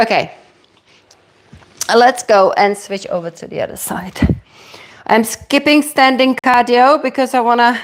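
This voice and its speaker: A woman's fairly high, energetic voice with a European accent. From Czech Republic. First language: Czech. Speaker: fitness instructor. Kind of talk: live-streamed workout class. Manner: energetic, encouraging.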